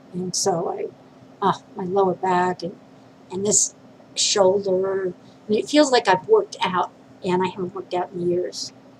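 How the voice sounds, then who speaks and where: Someone with an American accent speaks fairly slowly and with fairly even intonation amid noticeable background noise. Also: woman, medium pitch for a woman. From New York City. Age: 50s. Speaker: vlogger. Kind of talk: personal video diary. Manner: halting, many fillers.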